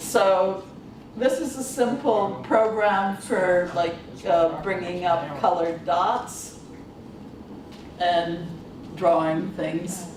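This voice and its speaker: Very slow and marked by long, frequent pauses, a woman's medium-pitched voice comes through audible room echo and noticeable background noise. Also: ordinary pitch variation. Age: 60s. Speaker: workshop presenter, computing academic. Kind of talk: workshop presentation. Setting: conference workshop with audience. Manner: halting, with many fillers.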